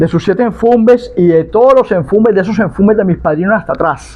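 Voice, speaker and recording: A man talks at a fairly quick pace. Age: 60s. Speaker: palo mayombe priest (tata) and spiritual advisor. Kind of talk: religious teaching monologue.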